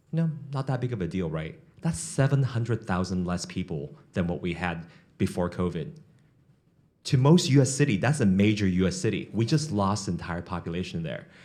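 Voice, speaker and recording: A man with a fairly low pitch and dark, mellow tone talks at a fairly quick pace with very wide pitch swings, with audible room echo around him. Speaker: economic development executive, panel moderator. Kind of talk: panel moderation at a business forum. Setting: conference stage with audience. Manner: fast.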